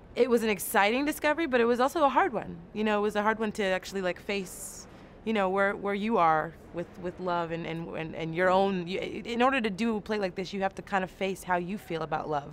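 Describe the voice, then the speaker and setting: With an American accent, a woman talks at a fairly quick pace in a medium pitch with lively intonation. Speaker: stage actor. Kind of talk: interview. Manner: fast.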